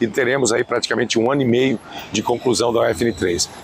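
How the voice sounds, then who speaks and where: The sound is dry, with no echo. A man is talking at a moderate pace. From Brazil. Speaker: state government official. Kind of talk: news interview statement. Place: street. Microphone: lapel.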